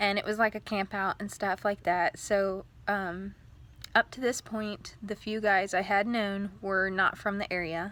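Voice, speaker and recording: A woman speaks in a monotone, flat way at a fairly slow pace. Her tone is bright and sharp. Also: medium pitch for a woman. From Texas. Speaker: video blogger. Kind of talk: casual personal vlog. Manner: hesitant, many fillers.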